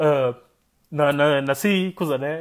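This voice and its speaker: The tone is animated, with a quiet background. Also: man. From Guinea-Bissau. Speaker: political commentator, live streamer. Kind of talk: live stream political commentary. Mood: animated, critical. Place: kitchen. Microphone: earbuds.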